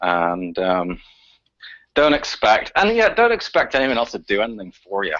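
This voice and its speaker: At a moderate pace, a man talks with a Northern Irish accent. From Northern Ireland, Belfast. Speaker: activist researcher. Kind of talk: radio interview. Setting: radio show. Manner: halting, many repetitions.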